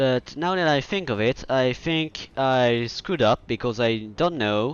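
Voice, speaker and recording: Speaking with a French accent, a man keeps a medium pitch, ordinary pitch variation and a fairly slow pace. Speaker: video game streamer. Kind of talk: casual gameplay commentary. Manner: halting, with frequent fillers and restarts.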